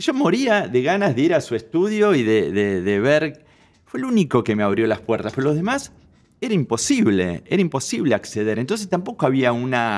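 Very wide pitch swings mark this man's speech. He keeps a moderate pace against a quiet background. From Argentina, Buenos Aires. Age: 60s. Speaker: photographer; interview guest. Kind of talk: interview. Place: studio. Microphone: studio mic.

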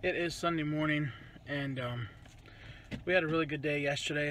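A man speaks in a dry sound with no echo. Light background noise is present. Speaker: family vlogger. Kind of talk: casual vlog chat. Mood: relaxed, joking. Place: car. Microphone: phone near.

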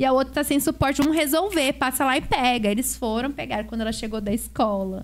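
Talking at a fairly quick pace, a woman uses a high pitch with ordinary pitch variation. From Brazil. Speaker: podcast host. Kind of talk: casual chat. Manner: animated. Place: studio. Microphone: studio mic.

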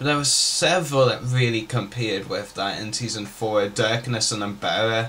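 Over light background noise, the voice moves at a moderate pace with ordinary pitch variation and hardly any pauses. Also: man. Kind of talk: casual Q&A vlog chat. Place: home room. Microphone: webcam.

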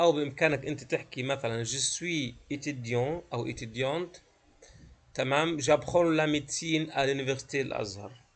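This man has an unremarkable speaking voice with a fairly high pitch. His pace is moderate and his pitch variation is ordinary. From Palestine, Gaza; Palestine. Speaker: French teacher. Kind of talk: lecture. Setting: video call. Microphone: video call.

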